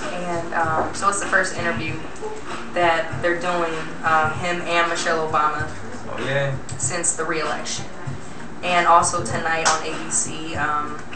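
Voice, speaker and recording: A woman's speech moves at a fairly slow pace. Behind her, music plays. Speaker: radio show host. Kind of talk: casual talk show chat. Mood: playful, joking. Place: studio.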